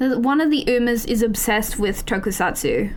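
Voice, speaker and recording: The delivery is animated. Audible room echo surrounds the voice. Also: woman. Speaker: variety streamer. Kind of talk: live stream chat.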